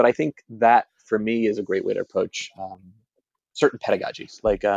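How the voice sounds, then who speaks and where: A man with an American accent is heard in a dry, close sound with no echo. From New Jersey. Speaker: high school teacher and instructional coach. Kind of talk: casual interview. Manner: fast; animated.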